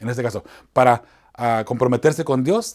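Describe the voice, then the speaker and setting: On a very clean recording with a silent background, a man's intonation is lively. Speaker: chaplain and evangelist teaching Bible lessons. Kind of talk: Bible study lesson. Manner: fast; hesitant, many fillers.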